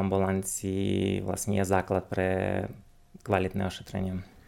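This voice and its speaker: A man speaks with a Ukrainian accent in a fairly low, dark and mellow tone. The recording is very clean with a silent background. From Ukraine, Uzhhorod. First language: Ukrainian (speaking Slovak). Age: 30s. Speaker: dentist. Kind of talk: interview. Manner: halting.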